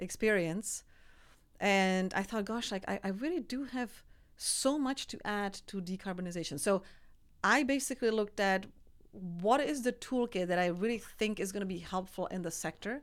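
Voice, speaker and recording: Recorded very cleanly against a silent background, a woman speaks with a Czech accent. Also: medium pitch for a woman, ordinary pitch variation, moderate pace. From Czech Republic, small village. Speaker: energy company executive. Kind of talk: interview.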